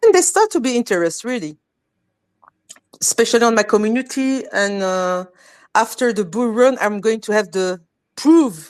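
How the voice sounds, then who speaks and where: In a dry, close sound with no echo, a woman with a French accent speaks at a fairly high pitch with lively intonation. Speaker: crypto community educator. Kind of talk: live stream panel discussion. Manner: halting, many repetitions.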